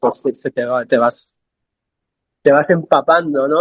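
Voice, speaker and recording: With a Madrid accent, a man talks at a moderate pace in a fairly high pitch, his intonation fairly even and the sound dry and close with no echo. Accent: Castilian Spanish (Madrid). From Spain, Madrid (San Sebastián de los Reyes). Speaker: poet and multidisciplinary artist. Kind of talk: interview conversation. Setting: video call from a café. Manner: hesitant, with repetitions.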